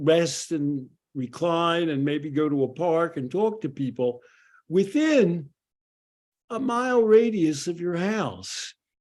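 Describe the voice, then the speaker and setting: A man with a Philadelphia accent speaks at a very slow pace, high in pitch and with lively intonation. The background is quiet. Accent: Philadelphia American English. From US Northeast, Philadelphia. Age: 70s. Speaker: addiction psychologist. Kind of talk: podcast commentary. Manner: conversational with frequent fillers.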